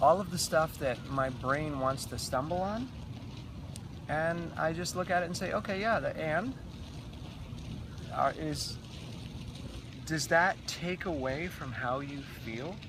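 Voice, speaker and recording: A man speaks with lively intonation at a fairly slow pace. Long, frequent pauses break his speech, and audible room echo surrounds it. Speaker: raw food runner and vlogger. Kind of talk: casual interview. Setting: outdoors in the sunshine. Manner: halting.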